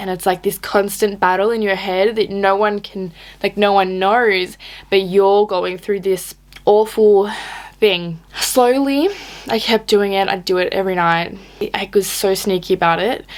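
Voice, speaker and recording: A woman speaks fairly slowly and shakily at a medium pitch. Her intonation is fairly even, with noticeable background noise. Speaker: fitness vlogger. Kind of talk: casual talk to camera, personal story. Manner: shaky, emotional.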